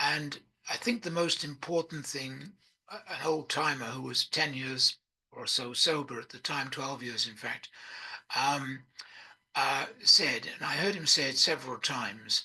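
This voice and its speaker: Someone with an English accent speaks at a fairly slow pace in a bright, sharp tone. The loudness swings widely. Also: man, fairly high pitch for a man, ordinary pitch variation. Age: 80s+. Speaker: recovering addict sharing his story. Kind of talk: personal testimony. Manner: hesitant, many fillers.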